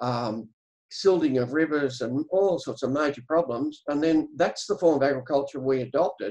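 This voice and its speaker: In a quiet background, a man with an Australian accent speaks with ordinary pitch variation. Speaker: farmer and regenerative agriculture educator; regenerative agriculture educator. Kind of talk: webinar presentation. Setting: video call. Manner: halting. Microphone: video call.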